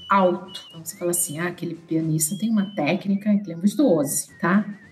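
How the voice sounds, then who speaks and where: A medium-pitched woman against noticeable background noise. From Brazil, São Paulo city. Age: 50s. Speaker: pianist and businesswoman. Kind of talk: casual interview chat.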